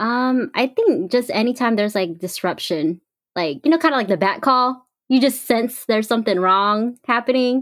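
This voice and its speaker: On a very clean recording with a silent background, a woman speaks with an American accent at a moderate pace. Her pitch is high and her intonation lively. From US West Coast. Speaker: social media personality. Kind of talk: casual chat.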